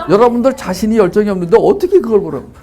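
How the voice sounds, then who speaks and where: Animated in tone, a man talks at a very fast pace with very wide pitch swings. Noticeable background noise runs behind him. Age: 60s. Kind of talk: lecture. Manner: animated, conversational.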